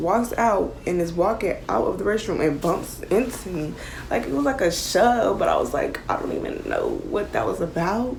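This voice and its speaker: Audible room echo and noticeable background noise accompany a woman talking at a moderate pace. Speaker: YouTuber. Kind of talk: storytime vlog. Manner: loud; animated.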